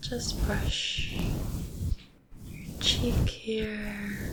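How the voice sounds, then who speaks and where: Relaxed whispering over noticeable background noise. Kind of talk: asmr whispered-soft talk to camera. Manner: soft-spoken, relaxed, friendly.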